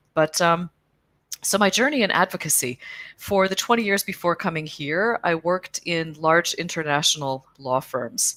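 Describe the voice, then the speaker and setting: A woman with an unremarkable speaking voice and an American accent, lively intonation at a moderate pace, in a dry, close sound with no echo. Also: fairly low pitch for a woman. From US Midwest, Chicago area. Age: middle-aged. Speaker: cycling advocacy organization executive. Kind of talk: interview. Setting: video call.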